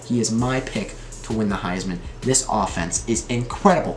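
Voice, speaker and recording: Music plays in the background as a man speaks at a medium pitch with ordinary pitch variation, his voice carrying audible room echo. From New York. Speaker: sports podcast host. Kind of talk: solo sports talk monologue. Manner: casual, frequent filler words.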